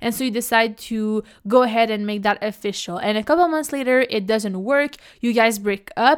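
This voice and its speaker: Fairly high-pitched female speech with an Algerian accent, ordinary pitch variation and a moderate pace, on a very clean recording with a silent background. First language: Kabyle. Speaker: podcast host. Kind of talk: casual solo podcast talk.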